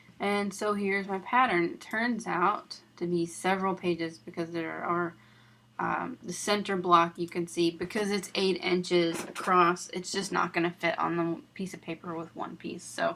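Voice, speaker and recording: Over noticeable background noise, a woman talks at a fairly low pitch. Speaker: quilting tutorial maker. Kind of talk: tutorial.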